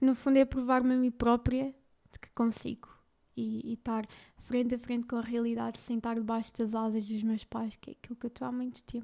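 A woman with a European Portuguese accent talks at a fairly quick pace in a fairly high pitch. Her tone is dark and mellow, and her intonation is monotone and flat. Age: 20s. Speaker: podcaster. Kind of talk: personal testimony. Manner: halting.

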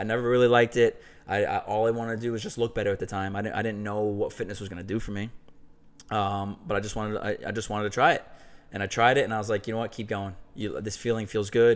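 This American accent moves at a very fast pace with monotone, flat intonation. The recording is very clean, with a silent background. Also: man, fairly low pitch for a man. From New York (Westchester). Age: 30s. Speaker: former college baseball player, CrossFit athlete. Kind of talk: casual interview.

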